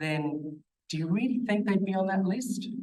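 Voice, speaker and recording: Lively intonation marks this man's high-pitched speech. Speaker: PhD candidate in marine biology. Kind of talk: presentation to students. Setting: room recording, poor audio. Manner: hesitant, with fillers and repeated words.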